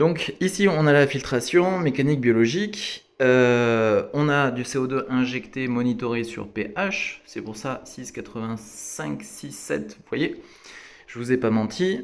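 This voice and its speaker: The speaker moves at a very slow pace with lively intonation and big swings in loudness. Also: man, medium pitch for a man. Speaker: aquarium hobbyist. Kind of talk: tutorial. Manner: casual with frequent hesitations.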